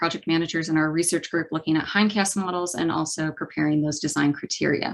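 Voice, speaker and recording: Against a quiet background, a woman speaks with a US Midwestern accent at a fairly low pitch. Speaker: climate scientist. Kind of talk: lecture. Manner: hesitant with many fillers.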